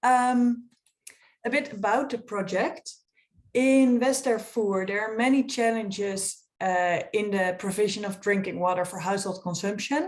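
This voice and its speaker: A woman's ordinary speaking voice at a fairly high pitch and a fairly slow pace, with ordinary pitch variation. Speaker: fellowship participant presenting project. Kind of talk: project presentation.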